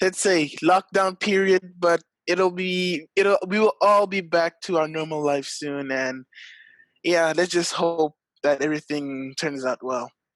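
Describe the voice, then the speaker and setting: A man's high-pitched voice, fairly slow, with ordinary pitch variation and a dry, close sound free of echo. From South Africa. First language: French. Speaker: esports athlete. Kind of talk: interview.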